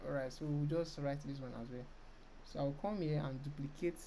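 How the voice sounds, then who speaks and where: A dark, mellow tone comes through with audible room echo. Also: woman. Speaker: design tutorial creator. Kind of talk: screen-recorded software tutorial. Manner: fast.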